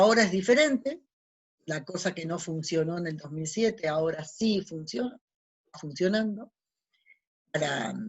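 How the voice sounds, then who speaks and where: At a moderate pace, a woman with a fairly low pitch speaks with lively intonation, big swings in loudness and long, frequent pauses. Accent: Argentine. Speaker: radio host / spiritual talk host. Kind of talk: casual monologue.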